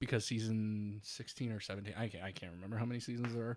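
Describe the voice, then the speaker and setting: The very clean recording with a silent background carries a man with a fairly low pitch, an ordinary speaking voice and fairly even intonation. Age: 30s. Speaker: podcast host. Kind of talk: casual chat.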